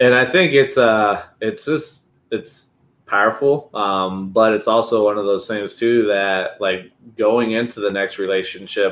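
A man talks at a fairly slow pace with a medium pitch and ordinary pitch variation. He has an ordinary speaking voice. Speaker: podcast co-host. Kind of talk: casual podcast interview.

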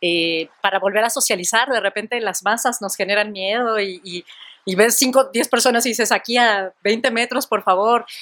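A woman's unremarkable speaking voice, fairly high in pitch with ordinary variation, at a moderate pace. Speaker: educator. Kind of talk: casual chat.

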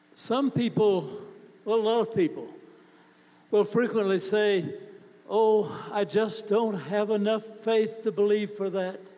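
A man talks very slowly at a high pitch, with fairly even intonation. Long pauses come often, and background noise is noticeable. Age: 80s+. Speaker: preacher. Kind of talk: sermon.

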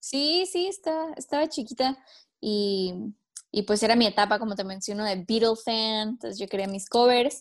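A woman's fairly high voice at a moderate pace, lively in intonation, on a very clean recording with a silent background. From Mexico, Tijuana. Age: 20s. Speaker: singer-songwriter. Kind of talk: casual interview.

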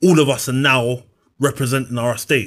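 The voice has a South London accent and a monotone, flat intonation, delivered at a moderate pace on a very clean recording with a silent background. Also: man. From South London (Brixton). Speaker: personal trainer. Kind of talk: interview.

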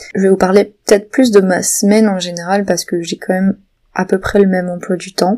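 A woman's voice at medium pitch, dark and mellow in tone, monotone and flat in intonation, at a fairly quick pace. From southwestern France, Béarn. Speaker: novelist and podcaster. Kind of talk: casual solo monologue. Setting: home. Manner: hesitant, many fillers.

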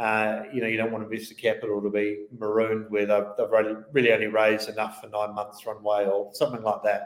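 This man has a New Zealand accent and a fairly low pitch. He talks at a very fast pace with monotone, flat intonation. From New Zealand, Christchurch. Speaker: venture investment platform co-founder. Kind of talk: interview.

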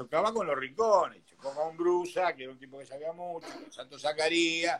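Bright and sharp in tone, a man's fairly high voice moves at a moderate pace. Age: 60s. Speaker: businessman and boxing sponsor. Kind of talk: interview.

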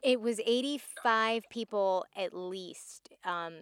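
With a Californian accent, a woman speaks with ordinary pitch variation in a very clean recording with a silent background and a dry, close sound with no echo. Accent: Californian American. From Southern California. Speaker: radio journalist. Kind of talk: interview. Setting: in a car.

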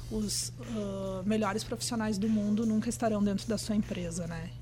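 A woman at a moderate pace, with audible room echo. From Brazil. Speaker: trend research executive. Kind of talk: casual interview. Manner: hesitant, many fillers.

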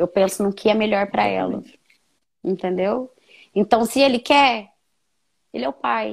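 A woman talks at a fairly slow pace with vocal fry, lively intonation, and long, frequent pauses. The recording is very clean, with a silent background. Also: medium pitch for a woman. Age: 30s. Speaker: young mother sharing her story. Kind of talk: testimony.

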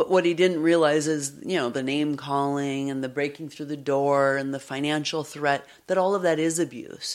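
A woman with a very deep, low pitch speaks at a moderate pace with fairly even intonation in a very clean recording with a silent background. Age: 50s. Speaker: psychologist and podcast host. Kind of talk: personal testimony in interview. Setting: away from her usual studio.

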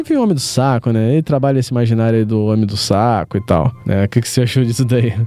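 A man talking at a very fast pace, hardly any pauses, ordinary pitch variation. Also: medium pitch for a man. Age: 30s. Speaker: podcast host. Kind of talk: casual chat.

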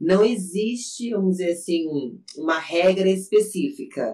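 A woman speaks in a dark, mellow tone. Her pace is fairly slow and her intonation lively. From São Paulo interior, Brazil. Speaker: bodybuilding athlete and gym owner. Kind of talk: casual chat.

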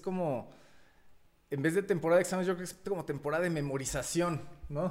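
This is a plain, everyday voice with fairly even intonation. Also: man. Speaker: podcast co-host. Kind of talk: casual chat.

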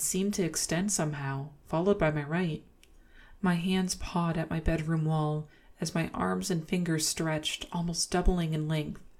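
The speaker is soft-spoken, with a gentle, playful tone and a flat, monotone intonation at a moderate pace. The recording is very clean, with a silent background. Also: woman, fairly low pitch for a woman. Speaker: ASMR podcast host reading horror stories. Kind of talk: ASMR horror story narration, reading Reddit tales aloud in a hushed, bedtime tone. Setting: home studio, podcast recording. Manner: soft-spoken, gentle, with playful laughs.

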